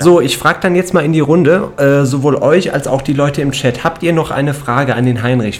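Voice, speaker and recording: Against noticeable background noise, a man with a fairly high pitch talks at a fairly quick pace with fairly even intonation. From Cologne, Germany. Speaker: radio host. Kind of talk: casual chat.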